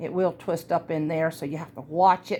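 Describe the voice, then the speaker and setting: A woman is speaking. She has a Southern US accent. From US South. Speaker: craft tutorial host. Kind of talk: tutorial. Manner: casual, chatty.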